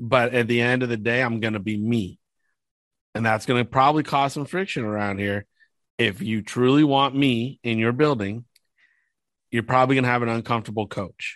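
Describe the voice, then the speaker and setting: A man talks at a medium pitch and a fairly quick pace, with ordinary pitch variation. Long, frequent pauses break up his speech against a quiet background. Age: 40s. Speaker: former football scout and team executive. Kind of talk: casual sports analysis.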